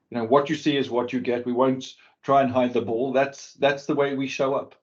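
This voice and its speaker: This man talks fairly quickly, his medium pitch held in fairly even intonation. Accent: South African. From South Africa, Cape Town. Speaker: business executive. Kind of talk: interview. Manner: halting, many repeated words.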